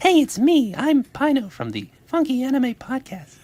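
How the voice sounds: A put-on character voice is pitched high. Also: moderate pace.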